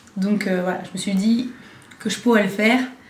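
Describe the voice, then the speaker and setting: A woman at a fairly quick pace, with ordinary pitch variation and audible room echo. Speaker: beauty vlogger. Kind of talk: casual vlog talk. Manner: hesitant, many fillers.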